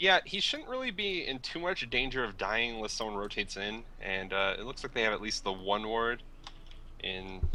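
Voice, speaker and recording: A man has a plain, everyday voice at a fairly low pitch. He speaks at a moderate pace. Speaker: esports co-caster. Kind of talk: live esports commentary.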